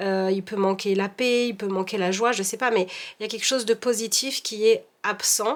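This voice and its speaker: Against noticeable background noise, a woman speaks at a moderate pace with a fairly high pitch and fairly even intonation. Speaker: tarot reader. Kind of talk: tarot reading. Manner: monotone.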